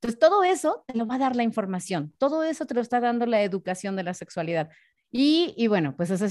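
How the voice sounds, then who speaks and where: With a Mexican accent, a woman speaks at a fairly quick pace, her pitch swinging very widely. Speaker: sexologist and voice announcer. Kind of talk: casual interview.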